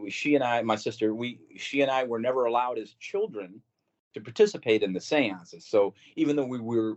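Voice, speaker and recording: A man with a US Midwestern accent speaks at a fairly quick pace, his pitch medium and its variation ordinary. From Missouri, St. Louis. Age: 60s. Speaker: podcast guest recounting paranormal experiences. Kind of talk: casual interview storytelling.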